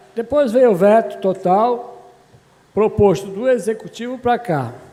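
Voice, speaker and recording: Noticeable background noise runs under the speech. A man talks with lively intonation. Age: 60s. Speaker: city councillor. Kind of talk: legislative debate speech. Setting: municipal council chamber session.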